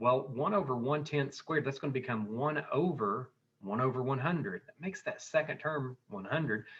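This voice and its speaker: This man has a plain, everyday voice, pitched fairly high, with ordinary pitch variation, big swings in loudness and a moderate pace. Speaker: math teacher. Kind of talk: tutorial. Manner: conversational, thinking aloud with fillers.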